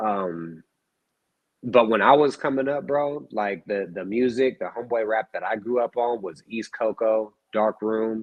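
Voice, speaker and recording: Speaking at a fairly slow pace with an American accent, a man has an unremarkable speaking voice, a medium pitch and ordinary pitch variation. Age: 30s. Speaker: rapper. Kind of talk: casual chat.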